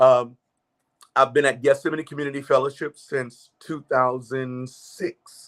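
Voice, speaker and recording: Speaking fairly slowly at a medium pitch, a man with an American accent sounds dry and close, with no echo. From US South, Charleston, South Carolina (Geechee). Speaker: gospel musician and choir director. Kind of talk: interview. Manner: halting, many fillers.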